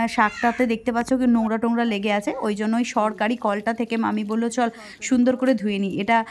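A woman's fairly high voice in a monotone, flat delivery, with noticeable background noise. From West Bengal, India. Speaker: village life vlogger. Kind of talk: vlog narration.

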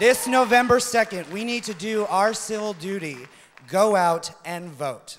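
With crowd noise behind him, a man talks with ordinary pitch variation. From United States. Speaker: pageant contestant. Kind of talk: pageant answer speech. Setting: stage with audience. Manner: impassioned. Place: stage. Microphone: podium.

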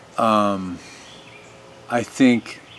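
A man's fairly low voice with fairly even intonation. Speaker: video commentator. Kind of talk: opinion monologue to camera. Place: garden.

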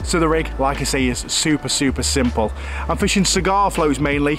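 Over noticeable background noise, a man talks at a fairly quick pace in a dry recording with no echo. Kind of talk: tutorial. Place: forest.

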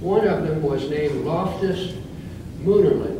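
The speaker goes at a fairly slow pace with ordinary pitch variation, amid audible room echo and noticeable background noise. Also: man. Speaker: presenter. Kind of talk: lecture. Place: hall. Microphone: camera far.

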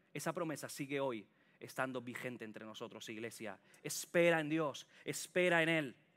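A man speaks at a moderate pace. His fairly high voice shows ordinary pitch variation. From Catalonia, Sant Boi de Llobregat (Barcelona area); Catalonia. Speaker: preacher. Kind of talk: sermon. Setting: church with congregation. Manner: animated. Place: church. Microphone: headset.

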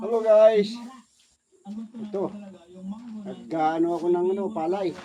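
A man talks at a fairly slow pace with ordinary pitch variation over noticeable background noise. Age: old. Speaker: vlogger and rice farmer, former overseas worker. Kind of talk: casual vlog narration.

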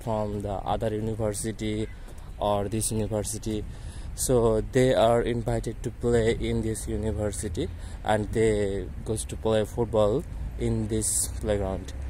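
Over light background noise, a man speaks at a fairly slow pace in a dry sound with no echo. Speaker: campus tour narrator. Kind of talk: casual vlog chat. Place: street. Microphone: phone near.

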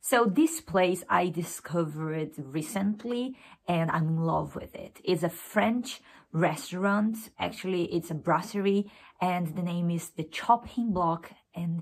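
This woman's voice sits fairly low for a woman and shows ordinary pitch variation. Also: fairly slow pace. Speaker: student vlogger. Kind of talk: casual vlog chat. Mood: warm, enthusiastic. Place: home room. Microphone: phone near.

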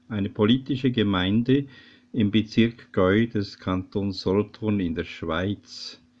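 Very slow delivery from a man with a fairly low pitch and normal pitch movement. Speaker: local history presenter. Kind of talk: documentary narration. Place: home room. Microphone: webcam.

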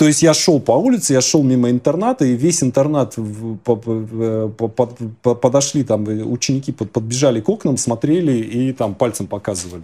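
A man's medium-pitched, dark, mellow voice at a moderate pace, with ordinary pitch variation. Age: 40s. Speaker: image consulting client; interviewee. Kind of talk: interview. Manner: halting. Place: home room. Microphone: lapel.

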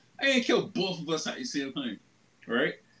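The man talks at a moderate speed. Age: 30s. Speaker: anime podcast co-host. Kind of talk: casual chat. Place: home room. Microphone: video call.

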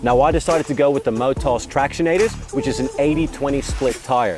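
A man talks at a fairly quick pace over clear music in the background. The sound is dry, with no echo. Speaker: presenter. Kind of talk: product presentation. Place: open country. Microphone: lapel.

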